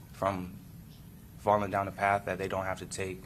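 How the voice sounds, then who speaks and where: In a room with audible echo, a man with a fairly low pitch speaks in a bright, sharp tone with monotone, flat intonation. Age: 20s. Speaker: defendant testifying in court. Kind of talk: court testimony. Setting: courtroom. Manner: halting.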